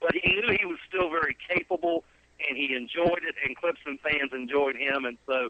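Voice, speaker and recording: A man with a Southern US accent talks at a moderate pace in a fairly high pitch with ordinary pitch variation. Noticeable background noise is present. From South Carolina. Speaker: son of a sports broadcaster. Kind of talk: interview. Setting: phone call.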